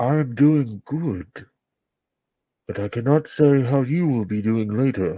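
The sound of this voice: Using a put-on character voice, a man talks at a medium pitch and a fairly slow pace. His speech has long, frequent pauses.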